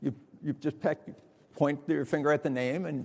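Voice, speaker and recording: Vocal fry runs through a man's fairly quick speech, his intonation fairly even. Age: 70s. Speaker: foundation founder, keynote speaker. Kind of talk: conference keynote talk. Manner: halting, many repetitions and fillers.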